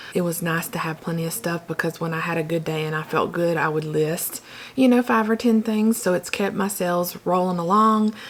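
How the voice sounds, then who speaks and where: A woman's voice over noticeable background noise. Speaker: reseller YouTuber. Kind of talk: casual vlog talk. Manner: hesitant, many fillers.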